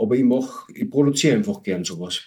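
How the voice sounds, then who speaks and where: A man's medium-pitched voice at a very fast pace, with very wide pitch swings. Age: 50s. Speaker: homebrewer and beer association board member. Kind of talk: casual chat.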